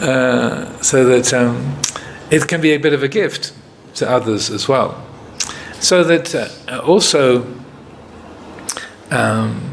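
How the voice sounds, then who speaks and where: A man with an American accent speaks at a medium pitch, with ordinary pitch variation and noticeable background noise. His pace is very slow, broken by long, frequent pauses. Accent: English with bits of American. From England. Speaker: Buddhist monk, meditation teacher. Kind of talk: retreat Q&A talk. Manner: hesitant, many fillers.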